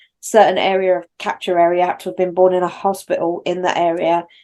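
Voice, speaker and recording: Very fast speech from a woman with a London accent, medium in pitch and dark, mellow in tone. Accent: London accent, one of the posher ones. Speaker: podcast co-host. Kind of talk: casual chat. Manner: animated.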